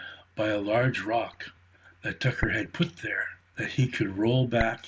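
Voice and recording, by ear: This is read aloud in a natural voice. The intonation stays fairly even.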